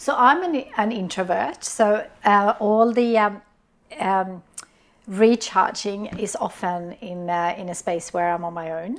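Someone with a Swedish accent speaks at a fairly slow pace with ordinary pitch variation. The loudness swings widely. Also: woman, medium pitch for a woman. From Sweden. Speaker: business founder. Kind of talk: interview. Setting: studio. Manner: halting.

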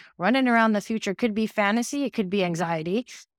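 A woman with an American accent has an ordinary speaking voice, fairly high in pitch, at a fairly quick pace. The very clean recording has a silent background and a dry, close sound with no echo. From New York City. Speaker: creative coach and entrepreneur. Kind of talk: casual interview chat.

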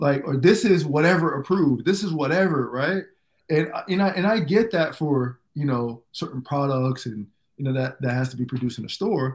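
With an ordinary speaking voice and an American accent, a man at a fairly high pitch talks at a moderate pace with lively intonation. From US South, Fort Myers, Florida, Jamaican background. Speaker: former pro basketball player, entrepreneur. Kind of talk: interview, personal story.

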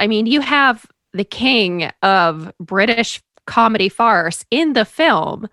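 Dry and close with no echo, the recording captures a woman with an American accent. She has a fairly high pitch, a bright, sharp tone and very wide pitch swings. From central Maine, US. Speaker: guest movie reviewer. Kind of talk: casual chat.

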